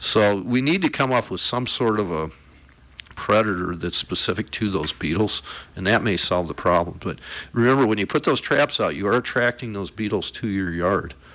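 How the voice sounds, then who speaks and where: Here is a man with an American accent and a fairly low pitch. He moves at a moderate pace with ordinary pitch variation. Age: 60s. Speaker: conservation expert, hunter. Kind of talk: radio interview. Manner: casual, conversational.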